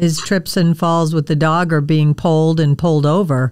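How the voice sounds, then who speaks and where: Here is a plain, everyday voice with an American accent. The recording is very clean, with a silent background. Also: woman. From Wisconsin, US Midwest. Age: 60s. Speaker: podcast host, dog trainer. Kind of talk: casual interview chat.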